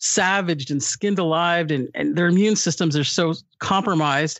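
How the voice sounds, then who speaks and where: An American-accented woman with a fairly low pitch talks in an animated tone at a moderate pace, with ordinary pitch variation. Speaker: guest, former radio worker. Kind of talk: casual chat. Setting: remote call during quarantine. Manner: animated, joking.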